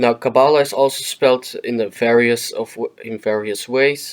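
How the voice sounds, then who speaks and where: On a very clean recording with a silent background, a man with a non-native accent talks at a moderate pace in a medium pitch with fairly even intonation. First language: non-native English speaker. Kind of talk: educational explainer narration. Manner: hesitant, with filler words.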